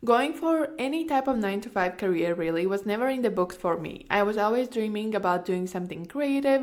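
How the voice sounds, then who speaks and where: Speaking with a Latvian accent, a woman uses lively intonation at a medium pitch and a moderate pace. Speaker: podcast host, online course coach. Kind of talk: personal story monologue. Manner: casual, filler-heavy.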